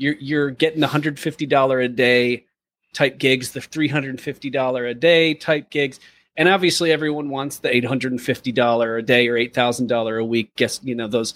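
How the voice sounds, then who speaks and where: A man with an American accent speaks at a fairly quick pace and medium pitch, in an unremarkable speaking voice. His intonation is fairly even. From US Midwest. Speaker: podcast co-host and actor. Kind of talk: casual interview chat.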